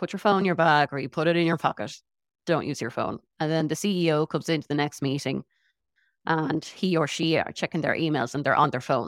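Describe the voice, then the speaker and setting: A woman speaks at a fairly quick pace in an Irish accent, her pitch very deep and low with ordinary variation. The sound is dry and close with no echo, on a very clean recording with a silent background. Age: 40s. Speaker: internal communications director. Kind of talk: interview.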